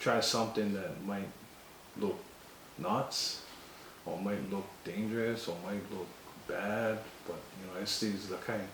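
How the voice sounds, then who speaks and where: Amid noticeable background noise and audible room echo, a man with a fairly low pitch speaks at a fairly slow pace, with fairly even intonation and long, frequent pauses. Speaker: Hawaiian sovereignty group member. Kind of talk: interview.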